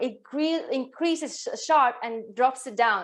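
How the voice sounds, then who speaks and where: Very slowly, a woman with a Latvian accent speaks at a high pitch with lively intonation. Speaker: women's health coach. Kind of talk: online workshop.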